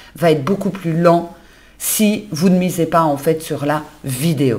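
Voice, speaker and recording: At a moderate pace and with ordinary pitch variation, a woman speaks. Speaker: business coach and community manager. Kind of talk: solo podcast monologue. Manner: conversational, natural.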